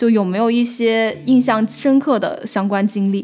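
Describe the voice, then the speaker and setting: A woman with a plain, everyday voice speaks at a moderate pace, her pitch fairly high and its variation ordinary. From Guangxi, China. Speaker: podcast host, editor. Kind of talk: casual interview chat.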